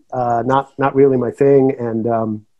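With an American accent, a man speaks at medium pitch and a moderate pace, his intonation fairly even against a quiet background. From US Northeast, Connecticut. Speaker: drummer; guest. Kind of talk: interview. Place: home room. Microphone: video call.

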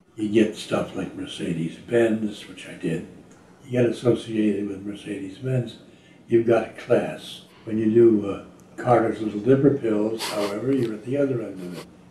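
A man with a fairly low voice talks at a moderate pace, his intonation fairly even but his loudness swinging widely. Audible room echo and light background noise fill the recording. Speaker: voice actor. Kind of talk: interview answer. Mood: wry, amused. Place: home room.

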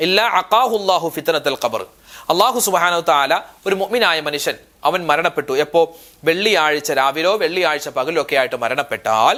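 Bright and sharp in tone, a man's fairly high voice carries lively intonation at a very even loudness. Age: 30s. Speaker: Islamic preacher. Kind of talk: religious class with prayers.

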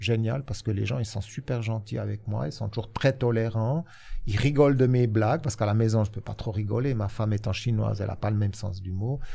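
A man's dark, mellow, somewhat breathy voice with ordinary pitch variation. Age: 60s. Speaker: social insurance consultant; guest. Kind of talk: interview. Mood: relaxed, good-humoured. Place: studio. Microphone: studio mic.

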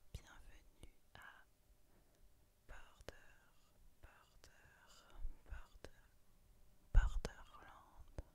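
Very slowly, a woman whispers with long, frequent pauses. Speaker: ASMR creator. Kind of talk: ASMR book review. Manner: whispered. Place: home room. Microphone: studio mic.

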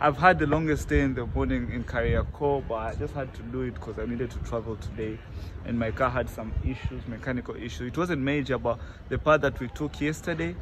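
Noticeable background noise runs beneath a man who speaks fairly quickly. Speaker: travel vlogger. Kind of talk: casual vlog chat. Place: street. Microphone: phone near.

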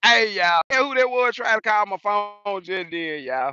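A man's raised, projected voice with a bright, sharp tone and lively intonation comes at a moderate pace, dry with no echo over a quiet background. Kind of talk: casual vlog chat. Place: open country. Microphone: phone near.

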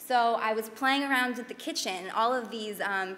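A woman talks in an unremarkable speaking voice at a fairly high pitch and a moderate pace. Her pitch varies in an ordinary way over light background noise. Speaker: chef and nutrition educator; presenter. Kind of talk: panel talk with slides. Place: hall. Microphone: podium.

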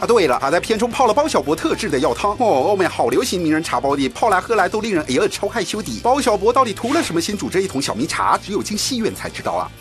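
A man's high-pitched, very fast delivery with very wide pitch swings and hardly any pauses, over music in the background. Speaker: news narrator. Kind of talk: entertainment news voiceover. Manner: playful, teasing, lively.

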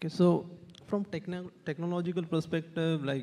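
The voice has an Indian accent and a dark, mellow tone. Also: man. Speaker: digital marketing agency co-founder, panelist; panelist. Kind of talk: panel discussion. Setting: stage with audience. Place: hall. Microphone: handheld.

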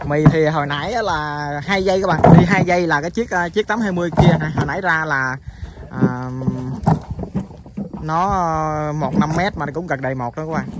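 Loud background noise surrounds a man speaking at a fairly slow pace with ordinary pitch variation. The sound is dry, with no echo. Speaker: farm vlogger. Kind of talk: casual vlog chat. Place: farm machine. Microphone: phone near.

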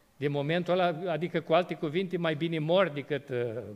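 The man's voice is high-pitched, and he speaks at a moderate pace. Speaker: pastor. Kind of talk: sermon. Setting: church. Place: church. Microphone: podium.

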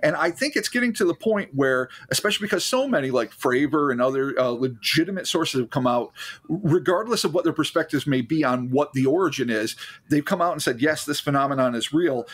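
A man talks at a very fast pace with a fairly high pitch. His intonation is lively and his loudness very even. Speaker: podcast co-host. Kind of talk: casual chat.

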